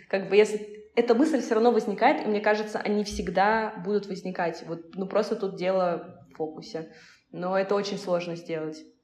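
A woman's medium-pitched voice is heard over noticeable background noise. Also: ordinary pitch variation, moderate pace. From Russia, Volzhsky. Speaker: marketer and indie singer. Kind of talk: casual chat. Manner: halting.

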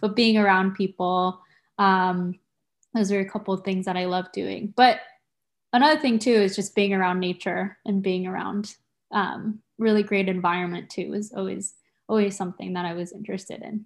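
The voice holds a fairly even intonation at a moderate pace. The recording is very clean, with a silent background. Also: woman, medium pitch for a woman. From San Diego, California (born in Tokyo, Japan). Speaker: university undergraduate advisor. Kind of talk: casual interview chat. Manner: hesitant, many fillers.

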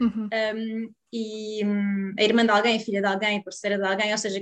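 A woman speaks in a European Portuguese accent. Her pitch is fairly high and her pace moderate. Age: 30s. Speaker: psychologist and sex therapist. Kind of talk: interview.

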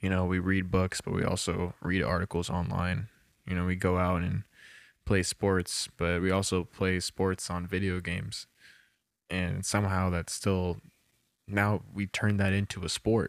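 A man speaks at a low pitch and a fairly slow pace. His intonation is monotone and flat, with vocal fry.

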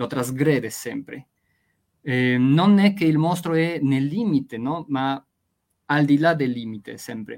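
A man with a Spanish accent speaks at a very slow pace, leaving long, frequent pauses. His pitch is fairly high. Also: ordinary pitch variation. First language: Spanish (speaking Italian). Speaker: literature professor. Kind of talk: interview. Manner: hesitant, many fillers.

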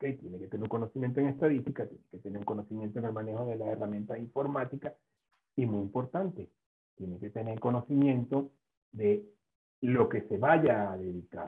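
Using a plain, everyday voice, a man talks at a fairly quick pace with medium pitch, ordinary pitch variation and big swings in loudness. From Venezuela. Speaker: food science professor. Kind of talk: interview.

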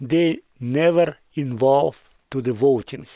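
A man with a fairly high pitch speaks at a very slow pace, with ordinary pitch variation. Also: very clean recording, silent background. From southern Ukraine. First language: Russian or Ukrainian. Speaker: business owner and community leader. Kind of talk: interview. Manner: halting.

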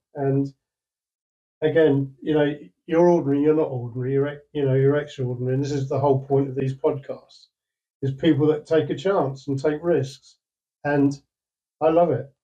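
A man with a fairly high, somewhat breathy voice and a dark, mellow tone talks in a flat monotone, leaving long, frequent pauses. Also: moderate pace. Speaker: podcast co-host, former DJ. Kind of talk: casual interview.

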